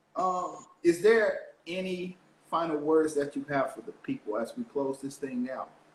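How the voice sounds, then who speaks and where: Over noticeable background noise, a man with an American accent speaks at high pitch, with very wide pitch swings and big swings in loudness. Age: young. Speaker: motivational speaker and podcast host. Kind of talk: casual chat.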